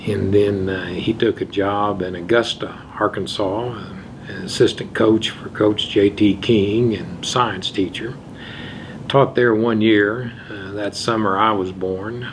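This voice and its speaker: A man speaks in an Ozarks accent with monotone, flat intonation. Noticeable background noise runs under the recording. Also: big swings in loudness. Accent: Ozarks Southern US. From US, southwest Missouri. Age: 70s. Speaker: judge. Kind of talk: oral history interview. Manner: measured, with frequent fillers.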